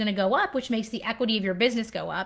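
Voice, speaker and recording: Very fast speech from a woman with an American accent, fairly high pitch and fairly even intonation. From US Pacific Northwest (Washington state). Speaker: accountant. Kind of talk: live Q&A stream.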